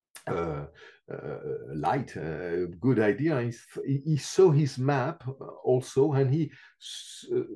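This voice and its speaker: A dark, mellow, somewhat breathy voice moves at a fairly slow pace. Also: man. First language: not English. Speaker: reflexology teacher. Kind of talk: interview. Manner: halting with many fillers.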